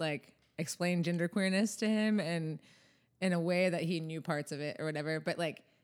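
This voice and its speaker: A woman talks at a moderate pace in a fairly low pitch with ordinary pitch variation, an unremarkable speaking voice. The recording is very clean, with a silent background. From US South. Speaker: musician. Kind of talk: casual chat.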